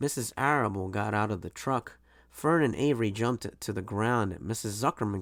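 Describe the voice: What we hear is text read aloud in a plain manner.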